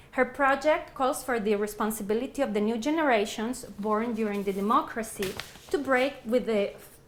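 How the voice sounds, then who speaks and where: Audible room echo carries a woman's high-pitched voice as she speaks at a moderate pace. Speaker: research associate and academic speaker. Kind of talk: lecture. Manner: loud.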